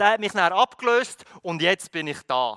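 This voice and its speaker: A man speaks in a raised, projected voice with a bright, sharp tone at a moderate pace. The sound is dry and close with no echo, on a very clean recording with a silent background. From Philippines, moved to Switzerland at 16. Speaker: pastor. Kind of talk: sermon.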